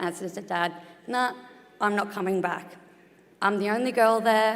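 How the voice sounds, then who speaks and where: With an Australian accent, the speaker goes at a fairly quick pace with fairly even intonation and long, frequent pauses, in audible room echo. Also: woman. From Australia, Geelong. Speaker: retired boxer, sports board member. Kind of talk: conference talk. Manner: conversational.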